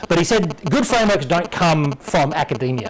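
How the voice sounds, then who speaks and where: Against noticeable background noise, a man with an Australian accent speaks with lively intonation. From Western Australia. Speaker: software developer giving a conference talk. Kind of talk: tech talk. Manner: fast when excited.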